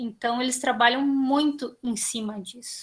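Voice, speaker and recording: A high-pitched woman's voice, fairly slow, with fairly even intonation. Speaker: student. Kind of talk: class discussion. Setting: video call.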